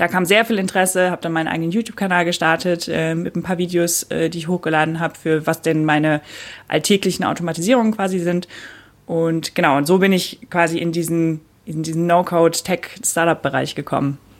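A woman with a normal speaking voice talks at a fairly quick pace. Her pitch is fairly low and her intonation fairly even. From Germany, Cologne. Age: 20s. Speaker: no-code educator, former product manager. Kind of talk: casual interview.

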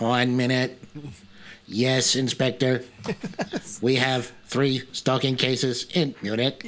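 A man's put-on character voice at medium pitch, monotone and flat, at a fairly slow pace with long, frequent pauses. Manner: robotic.

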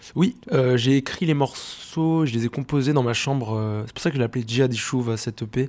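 Hardly pausing, a man speaks at medium pitch with ordinary pitch variation. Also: moderate pace. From France, Rennes (Brittany). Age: 20s. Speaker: singer. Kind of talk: interview. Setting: studio. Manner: halting, many fillers and repetitions.

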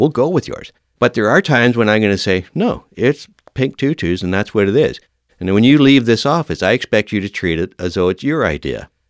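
A man with a Canadian accent speaks at a very fast pace with lively intonation, on a very clean recording with a silent background and a dry, close sound with no echo. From Northern Ontario, Canada. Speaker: retired fire chief. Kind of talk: interview.

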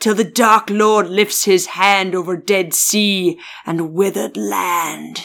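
The speaker puts on a character voice at a middle pitch. Delivery is very slow. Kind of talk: storytelling, ominous. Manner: spooky.

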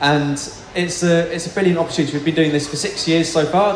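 Noticeable background noise surrounds the voice of a man talking. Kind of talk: Q&A and announcements.

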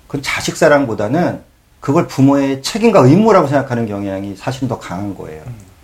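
Against noticeable background noise, a man talks at a fairly quick pace and medium pitch, with very wide pitch swings and big swings in loudness. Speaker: broadcast coordinator and real estate agent. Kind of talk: casual chat.

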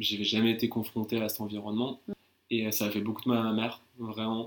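Here a man speaks with a fairly low pitch. His pace is moderate. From France, Paris region (Val-de-Marne). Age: 20s. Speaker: digital marketer. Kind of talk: casual interview.

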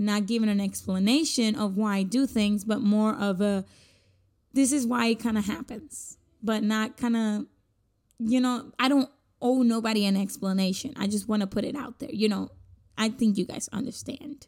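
The voice is somewhat breathy, with fairly even intonation at a moderate pace, on a very clean recording with a silent background. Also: woman, fairly high pitch for a woman. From Puerto Rico. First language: Spanish. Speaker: podcaster. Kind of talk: solo casual podcast monologue. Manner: casual, rambling, conversational.

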